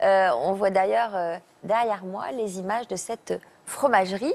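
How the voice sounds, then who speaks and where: A woman with an unremarkable speaking voice talks at a fairly slow pace using lively intonation. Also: very clean recording, silent background. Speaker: TV talk show host. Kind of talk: TV talk show interviewer.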